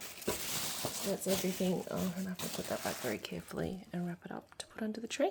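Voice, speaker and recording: A quiet woman at a moderate pace, with noticeable background noise. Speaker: product reviewer. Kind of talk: casual unboxing monologue. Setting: at home. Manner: quiet, hushed.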